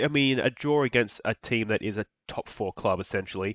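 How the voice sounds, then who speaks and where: A man with an Australian accent, medium in pitch with ordinary pitch variation, in a dry, close sound with no echo over a quiet background. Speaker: video game streamer. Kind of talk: gameplay commentary. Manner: animated.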